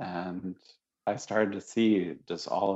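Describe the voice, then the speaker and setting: A man with an American accent and a very deep, low pitch, his pitch varying in an ordinary way. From US Northeast, Syracuse, New York. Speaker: Zen teacher and contemplative care founder. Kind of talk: interview conversation.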